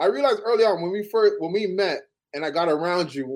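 A man speaks at a moderate pace in a Toronto accent. His pitch is high, with ordinary variation. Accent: Toronto Canadian English. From Canada (Toronto). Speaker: former basketball player. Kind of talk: casual chat.

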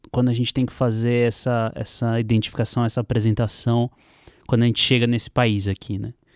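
Recorded very clean with a silent background and a dry, close sound with no echo, a man speaks at a medium pitch and moderate pace. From Santos, Brazil. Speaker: filmmaker. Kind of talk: casual chat. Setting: studio.

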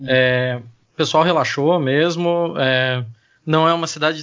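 With an ordinary speaking voice, a man speaks at a fairly high pitch and with fairly even intonation. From Joinville, Santa Catarina, southern Brazil. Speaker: podcaster and data analyst. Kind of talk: casual chat. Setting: remote recording.

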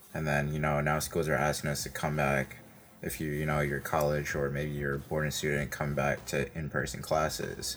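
A man's very deep, low voice with an American accent, flat and monotone, over noticeable background noise. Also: moderate pace. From Brooklyn, New York. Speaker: podcast host. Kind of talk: interview conversation.

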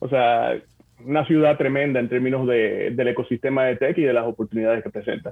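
A man has a plain, everyday voice, with medium pitch, fairly even intonation and a moderate pace. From Dominican Republic (Santo Domingo, Bonao). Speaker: corporate development manager at a tech company. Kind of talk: interview.

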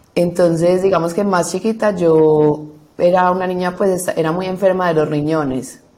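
There is audible room echo around a dark, mellow tone with fairly even intonation. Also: woman, fairly low pitch for a woman, moderate pace. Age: 20s. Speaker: law student. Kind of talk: testimony.

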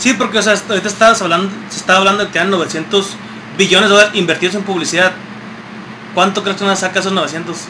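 A man's raised, projected voice in a Mexican accent, high-pitched and monotone, very fast yet with long, frequent pauses, over noticeable background noise. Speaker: podcast co-host. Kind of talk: casual chat.

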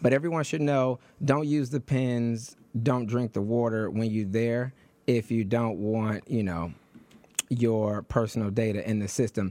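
A man with a normal speaking voice at medium pitch talks at a fairly slow pace with ordinary pitch variation. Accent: American. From Detroit, US Midwest. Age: 30s. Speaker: radio host and congressional candidate. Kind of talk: radio interview. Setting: radio studio.

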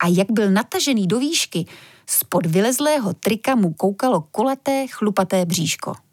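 A natural reading voice, intonation lively

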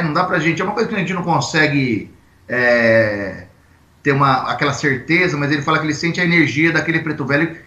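His tone bright and sharp, a man talks at a fairly quick pace and a fairly high pitch with ordinary pitch variation, amid audible room echo. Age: 40s. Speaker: Umbanda priest. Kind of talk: casual interview on a livestream. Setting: video livestream.

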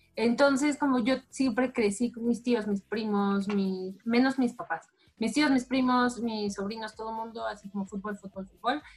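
Her fairly high-pitched voice somewhat breathy, a woman speaks at a moderate pace with fairly even intonation and hardly any pauses. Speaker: sports journalist. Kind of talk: casual interview.

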